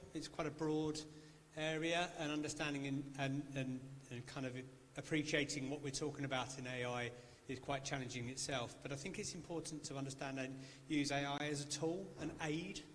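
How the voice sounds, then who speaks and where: Amid audible room echo, a man with a fairly high pitch speaks in a monotone, flat intonation. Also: moderate pace. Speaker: engineering panelist. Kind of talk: panel discussion. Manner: loud.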